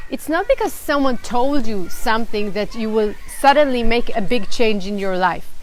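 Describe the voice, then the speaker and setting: A woman's high pitch and lively intonation in an Israeli accent, at a fairly slow pace, with noticeable background noise. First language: Hebrew. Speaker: children's storyteller. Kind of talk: live stream talk to parents.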